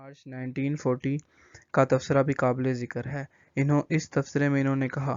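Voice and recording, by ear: A man speaks at a moderate pace and medium pitch. His tone is clear, smooth and slightly mellow, with a monotone, flat intonation.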